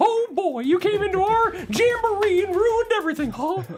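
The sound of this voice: An extremely high-pitched, put-on character voice is heard. Clear background noise is present. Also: moderate pace.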